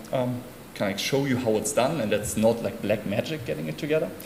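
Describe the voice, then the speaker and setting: Over noticeable background noise and audible room echo, a man with a medium pitch and a German accent talks at a fairly quick pace with lively intonation. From Germany, Hamburg. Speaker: conference speaker. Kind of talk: conference talk.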